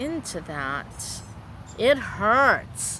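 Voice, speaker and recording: There is audible room echo as a woman speaks in a bright, sharp tone. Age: 60s. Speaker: vlogger. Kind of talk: personal vlog monologue. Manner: halting.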